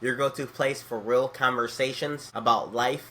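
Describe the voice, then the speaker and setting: An ordinary speaking voice comes through with an American accent. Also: man. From Detroit, Michigan. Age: 20s. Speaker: youth pastor. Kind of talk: channel intro to camera. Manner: upbeat.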